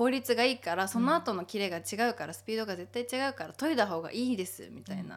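A woman talks at a very fast pace with hardly any pauses, her fairly high pitch riding a lively intonation amid big swings in loudness. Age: 20s. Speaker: podcast co-host. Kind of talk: casual chat.

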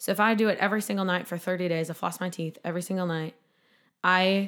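On a very clean recording with a silent background, a woman with an unremarkable speaking voice and medium pitch talks at a fairly quick pace. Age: 20s. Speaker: bikini competitor and nutrition shop owner. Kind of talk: interview conversation.

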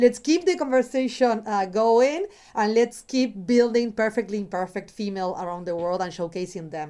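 A woman with an unremarkable speaking voice talks at a moderate pace and fairly high pitch, with lively intonation and big swings in loudness. The recording is very clean, with a silent background. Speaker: podcast co-host. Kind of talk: casual interview conversation.

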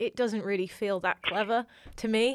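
A woman at a fairly quick pace, fairly even intonation, on a very clean recording against a silent background. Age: 20s. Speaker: podcast host. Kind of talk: casual interview chat.

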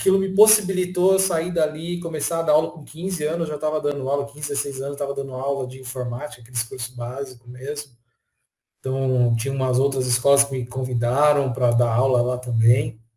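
Fairly high in pitch and somewhat breathy, a man's dark, mellow voice moves at a moderate pace with ordinary pitch variation and big swings in loudness. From São Paulo state, Brazil (Franco da Rocha). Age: 30s. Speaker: technology professional. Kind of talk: casual interview chat.

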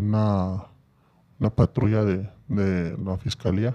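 This man's fairly low voice has a dark, mellow tone. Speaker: former prisoner. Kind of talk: personal testimony in casual interview.

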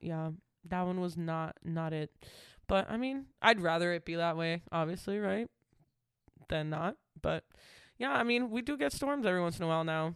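On a very clean recording with a silent background, a woman with a fairly low pitch talks at a moderate pace, using lively intonation and long, frequent pauses. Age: 20s. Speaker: podcast co-host. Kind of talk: casual chat.

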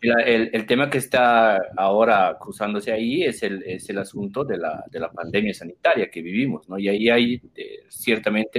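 Speaking at medium pitch, a man keeps a moderate tempo, and his pitch moves in an ordinary way. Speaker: debate moderator. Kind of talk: moderated political debate. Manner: halting.

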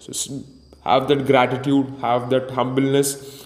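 A man speaks in a flat monotone. Noticeable background noise runs behind him. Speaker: podcast host. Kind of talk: motivational solo monologue, pep talk. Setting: solo podcast recording. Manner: intense, hyped, urgent.

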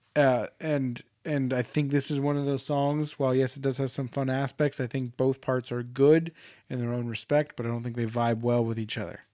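A man's dark, mellow voice with fairly even intonation. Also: medium pitch for a man, moderate pace. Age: 20s. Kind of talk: casual chat.

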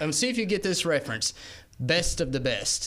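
This man talks in a Southern US accent. Lively intonation marks his speech. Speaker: radio co-host.

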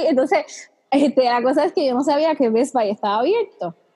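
The speaker, in a Puerto Rican accent, keeps a moderate pace and ordinary pitch variation. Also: woman. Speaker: podcast host. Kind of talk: casual chat. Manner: animated.

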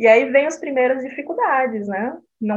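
An ordinary speaking voice from a woman, with ordinary pitch variation and a moderate pace. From Brazil. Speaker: nonprofit president. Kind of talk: casual interview.

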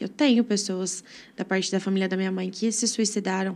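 Delivered at a moderate pace, the speech is a very clean recording with a silent background. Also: woman. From Brazil, Brodowski (São Paulo state). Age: 20s. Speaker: church member. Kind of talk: testimony.

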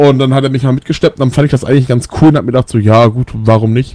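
Recorded with a dry, close sound and no echo, a man with a medium pitch talks at a very fast pace with fairly even intonation. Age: 20s. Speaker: metal band bassist. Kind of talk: casual radio interview.

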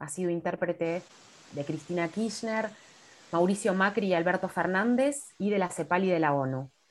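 Very clean recording, silent background: a woman in a normal speaking voice. Her pitch is medium with ordinary pitch variation. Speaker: podcast host. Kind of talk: interview.

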